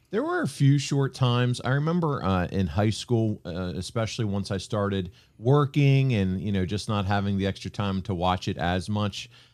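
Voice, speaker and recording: With an American accent, a man in a normal speaking voice talks at a moderate pace with a fairly low pitch, lively intonation and hardly any pauses on a very clean recording with a silent background. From Pennsylvania, Reading area. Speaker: podcast host and producer. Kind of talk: casual interview.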